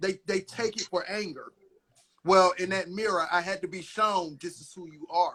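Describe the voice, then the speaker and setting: At a moderate pace, a man speaks in a raised, projected voice. His pitch is high and his tone is bright and sharp. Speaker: channel host. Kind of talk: casual chat. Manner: loud; aggressive.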